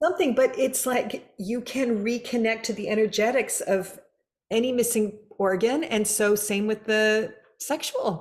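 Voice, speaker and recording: With an ordinary speaking voice, the speaker talks at a fairly slow pace with ordinary pitch variation. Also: woman, fairly high pitch for a woman. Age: 60s. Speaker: podcast host. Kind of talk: casual interview chat.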